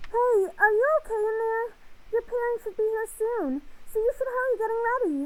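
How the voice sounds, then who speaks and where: Someone does a squeaky, put-on character voice with extremely high pitch at a moderate pace. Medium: game stream. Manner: casual, friendly.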